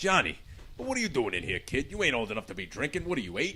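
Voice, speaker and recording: Gruff and very fast, this put-on character voice has very wide pitch swings. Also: man, medium pitch for a man. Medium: audio drama. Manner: gruff, colloquial.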